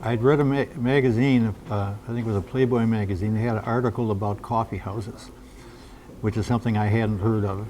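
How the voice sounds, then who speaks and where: The man's voice has a medium pitch and a dark, mellow tone. He speaks at a fairly quick pace. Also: fairly even intonation. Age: 80s+. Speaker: folk blues musician. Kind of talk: interview. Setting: cafe. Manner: halting, many fillers.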